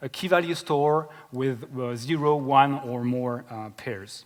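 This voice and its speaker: This man has a medium-pitched voice and a French accent. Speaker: software engineer. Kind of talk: conference talk. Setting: stage with audience. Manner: hesitant, many fillers.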